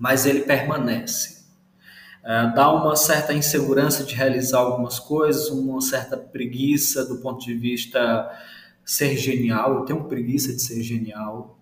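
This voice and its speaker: In a room with audible echo, a man speaks slowly-ish at a medium pitch with monotone, flat intonation. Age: 30s. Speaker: brand designer. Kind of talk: casual interview chat.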